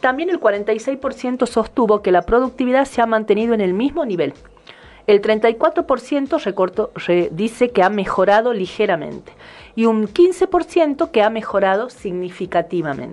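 This woman's fairly high voice swings very widely in pitch as she speaks at a fairly slow pace. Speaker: radio host. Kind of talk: casual chat.

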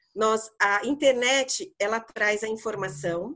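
A woman at a very slow pace, lively in intonation, against a quiet background. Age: 50s. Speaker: psychologist and career mentor. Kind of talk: casual podcast chat.

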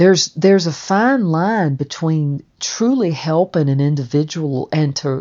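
A woman's very deep, low-pitched voice in a Southern US accent, at a moderate pace with lively intonation. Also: hardly any pauses. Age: 60s. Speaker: stonemason and podcast narrator. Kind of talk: personal memoir narration. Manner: conversational with frequent fillers.

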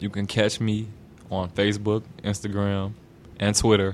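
Speaking with a Chicago accent, a man uses a fairly low pitch and monotone, flat intonation at a fairly slow pace. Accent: Southern-sounding Chicago West Side. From Chicago, West Side. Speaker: rapper. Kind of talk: casual chat.

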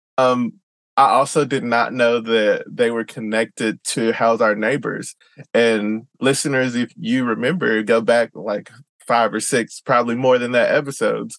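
With a Southern US accent, a man speaks at a fairly slow pace in a dry, close sound with no echo. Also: medium pitch for a man, fairly even intonation. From US South. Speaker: podcast host. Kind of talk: interview.

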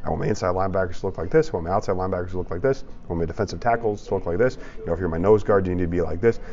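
Noticeable background noise sits behind this man. He has an American accent and ordinary pitch variation. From Chicago suburbs, Illinois. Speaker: former college football player and sports broadcaster. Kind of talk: casual interview.

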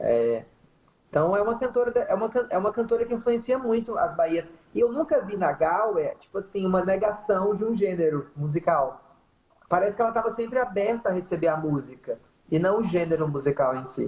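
A woman's voice with very wide pitch swings at a fairly quick pace. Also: medium pitch for a woman. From Bahia interior (sertão), Brazil. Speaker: singer in a band. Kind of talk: casual interview. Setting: Instagram live video call.

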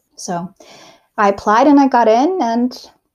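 Using lively intonation, a woman speaks with a high pitch. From South Africa. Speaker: graphic designer and illustrator. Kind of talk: casual interview. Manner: casual, lots of fillers.

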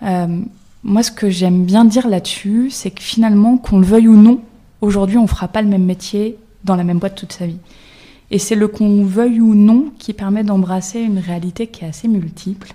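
Slightly breathy speech from a woman at an average pace. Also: medium pitch for a woman, fairly even intonation. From Brittany, France. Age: 30s. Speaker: career coach. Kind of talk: panel discussion.

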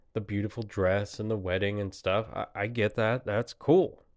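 A man with a plain, everyday voice, fairly even intonation and a moderate pace. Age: 30s. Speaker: podcast host. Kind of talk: solo monologue podcast. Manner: casual, rambling with frequent fillers.

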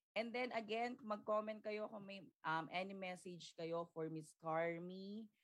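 Ordinary pitch variation and a fairly slow pace in a plain, everyday voice. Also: woman, medium pitch for a woman. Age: young. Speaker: podcast host. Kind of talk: livestream interview. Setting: livestream.

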